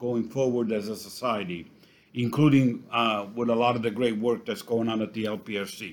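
Intonation holds fairly even here. The voice is an unremarkable speaking voice. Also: man. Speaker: co-host giving retail crime stats. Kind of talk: podcast news update.

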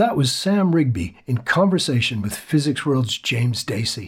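His pitch leaping up and down very widely, the man sounds somewhat breathy. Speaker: podcast host. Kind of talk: scripted intro and outro reading.

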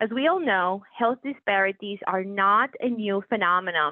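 This is a woman speaking. She has a Puerto Rican accent. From Puerto Rico. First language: Spanish. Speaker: physician executive. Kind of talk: interview. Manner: formal.

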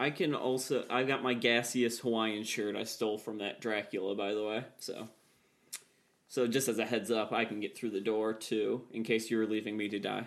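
At a moderate pace, a man with a medium pitch and fairly even intonation speaks in a plain, everyday voice. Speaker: tabletop game player. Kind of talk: casual tabletop RPG play, banter.

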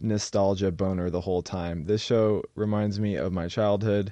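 A man's normal speaking voice with an American accent, fairly low in pitch, at a moderate pace with fairly even intonation. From Oregon. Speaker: podcast co-host. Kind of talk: casual chat.

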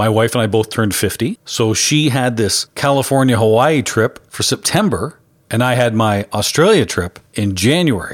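With a strong Canadian accent, a man speaks at a medium pitch and a moderate pace, with hardly any pauses. His loudness stays very even, his pitch varies in an ordinary way, and the recording is very clean with a silent background. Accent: thick Canadian. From Canada. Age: 50s. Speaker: podcast host. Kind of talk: podcast narration with event interviews. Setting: live pinball events in bars.

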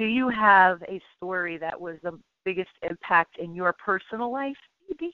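A woman speaks with an unremarkable speaking voice and ordinary pitch variation. Her loudness shows big swings. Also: medium pitch for a woman, moderate pace. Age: 50s. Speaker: radio host. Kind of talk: radio interview.

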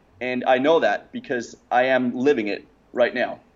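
Medium-pitched male speech in a Danish accent, at a moderate pace with ordinary pitch variation. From Denmark. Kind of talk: interview. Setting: remote call.

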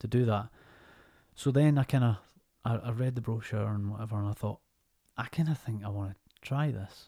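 Somewhat breathy and dark, mellow in tone, a man's medium-pitched voice moves at a fairly quick pace with ordinary pitch variation and long, frequent pauses, in a very clean recording with a silent background. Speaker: actor. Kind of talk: casual chat.

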